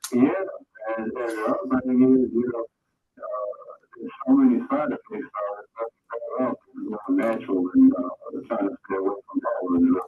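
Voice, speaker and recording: Moderate-paced speech from a man, broken by long, frequent pauses. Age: 60s. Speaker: caller. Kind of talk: casual chat. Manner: halting.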